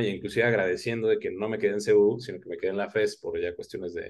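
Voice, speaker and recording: The pace is very fast. Pitch variation is ordinary. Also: man. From Oaxaca, Mexico. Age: 20s. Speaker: history content creator. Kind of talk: casual interview chat.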